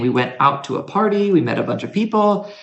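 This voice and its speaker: A man with an American accent makes very wide pitch swings amid audible room echo. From United States. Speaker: university lecturer. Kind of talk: casual interview chat.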